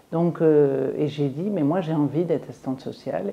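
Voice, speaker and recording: A woman's very deep, low voice with ordinary pitch variation at a moderate pace. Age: 70s. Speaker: singer and former social worker. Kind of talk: interview. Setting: filmed interview at art venue. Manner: halting.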